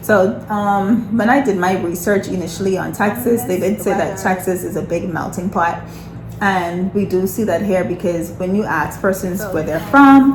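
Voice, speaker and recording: A woman with a Bahamian accent speaks at a moderate pace in a medium pitch with ordinary pitch variation, while music plays in the background and room echo is audible. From Bahamas. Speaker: nurse and lifestyle vlogger. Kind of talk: casual chat.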